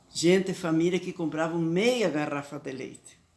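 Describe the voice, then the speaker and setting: In monotone, flat intonation, a woman talks at a very deep, low pitch. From southern Brazil, Italian-descended community (Guaporé, Rio Grande do Sul). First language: Talian (Venetian-based Italian dialect) (speaking Portuguese). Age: 80s+. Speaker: elderly woman telling her life story. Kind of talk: personal storytelling.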